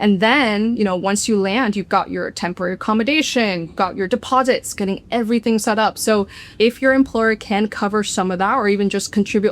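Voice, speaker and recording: In a very clean recording with a silent background, a woman has an unremarkable speaking voice at medium pitch with ordinary pitch variation. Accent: American. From United States. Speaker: expat vlogger. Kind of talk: casual explainer to camera.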